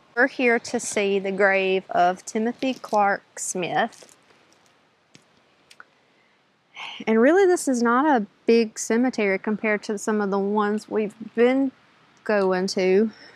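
Speaking at a fairly slow pace with long, frequent pauses, a woman shows ordinary pitch variation in dry sound with no echo. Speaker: travel vlogger. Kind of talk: casual vlog chat. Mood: cheerful, informative. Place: open country. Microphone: phone near.

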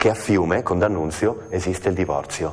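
Talking at a fairly quick pace, a man speaks. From Trieste, Italy. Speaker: stage actor. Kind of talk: TV interview answer. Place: studio. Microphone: lapel.

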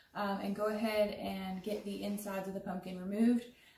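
A woman speaks at a moderate pace. Light background noise and audible room echo are present. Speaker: extension agent demonstrating crafts. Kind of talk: tutorial. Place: home room.

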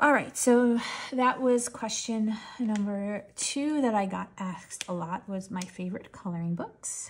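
A woman's fairly high, somewhat breathy voice at a fairly slow pace, with ordinary pitch variation. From New York tri-state area, US. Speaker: coloring channel creator. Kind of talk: casual chat while coloring, storytelling. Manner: relaxed, chatty, long-winded.

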